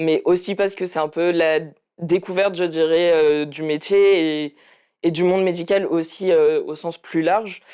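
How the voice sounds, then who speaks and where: Speaking at a fairly slow pace, a man uses a high pitch with monotone, flat intonation. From France, Cévennes. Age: 20s. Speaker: midwifery student, activist. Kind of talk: interview. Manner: hesitant, many fillers.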